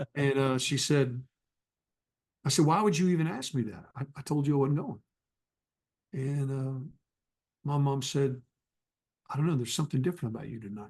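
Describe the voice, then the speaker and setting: A man with an American accent, somewhat breathy and fairly high in pitch, at a fairly quick pace broken by long, frequent pauses. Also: ordinary pitch variation. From North Texas. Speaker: evangelist. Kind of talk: testimony.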